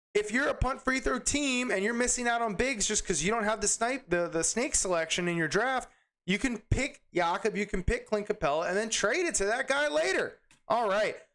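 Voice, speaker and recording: A man's extremely high voice, energetic in tone, with lively intonation. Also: very even loudness, very clean recording, silent background. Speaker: fantasy basketball YouTuber. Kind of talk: tutorial. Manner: fast.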